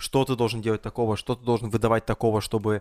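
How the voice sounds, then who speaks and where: A man at medium pitch, talking at a very fast pace in monotone, flat intonation, with a dry, close sound with no echo and a very clean recording, silent background. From Russian Far East (Blagoveshchensk). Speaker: event host and podcast host. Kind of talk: casual chat.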